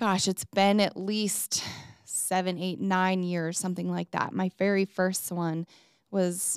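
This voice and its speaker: Very clean and silent in the background, this recording has a woman with an ordinary speaking voice. She talks at a fairly slow pace and medium pitch. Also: dry, close sound with no echo. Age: 40s. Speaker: podcast host and mom. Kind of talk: personal monologue.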